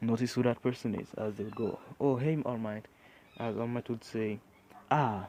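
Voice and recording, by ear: Someone reads the passage aloud in a natural voice, keeping the intonation fairly even.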